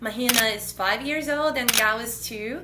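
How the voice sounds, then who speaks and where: Bright and sharp in tone, a woman's voice carries ordinary pitch variation against audible room echo. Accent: Portuguese. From Brazil. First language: Portuguese. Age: 30s. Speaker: podcast co-host, mother and doctoral student. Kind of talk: casual chat.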